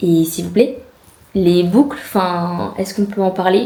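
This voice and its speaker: This is a woman with a medium-pitched voice. She talks at a fairly quick pace. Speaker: vlogger. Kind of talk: casual vlog. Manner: hesitant, many fillers.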